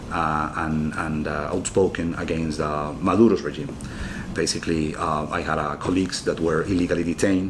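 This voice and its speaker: With audible room echo and noticeable background noise, a man speaks at a moderate pace in a very deep, low pitch and a monotone, flat intonation. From Venezuela, Caracas. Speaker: former mayor, diplomat and graduate student. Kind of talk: interview. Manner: hesitant, with many filler words.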